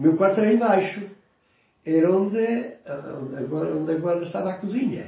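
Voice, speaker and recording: Amid audible room echo, a high-pitched man speaks at a moderate pace with ordinary pitch variation. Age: 70s. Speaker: grandfather interviewed about his life. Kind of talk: oral history interview.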